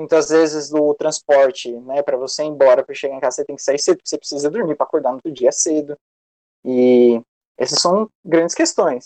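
The sound is dry and close, with no echo. A man talks at a fairly quick pace with a fairly high pitch and ordinary pitch variation. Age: 20s. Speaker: history student and youth activist. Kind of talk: casual discussion. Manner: halting, many fillers.

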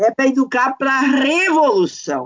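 A woman's high-pitched voice. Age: 60s. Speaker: university professor. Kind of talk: podcast discussion.

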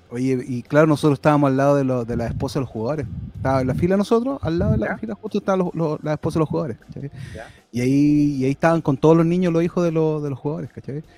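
Talking at a very fast pace, a man uses a fairly high pitch and lively intonation, with a dry, close sound and no echo. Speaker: football podcast panelist. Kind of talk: casual chat.

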